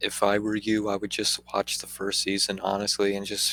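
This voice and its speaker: A man's fairly low, monotone and flat voice in a dry, close sound with no echo. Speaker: anime reviewer. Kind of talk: casual review commentary. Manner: halting, stuttering.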